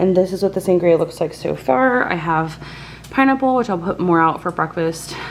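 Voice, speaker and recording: Quiet and at a fairly low pitch, a woman speaks at a moderate pace with lively intonation over noticeable background noise. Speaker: lifestyle vlogger. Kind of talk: casual vlog talk to camera. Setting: home kitchen. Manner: quiet, hushed.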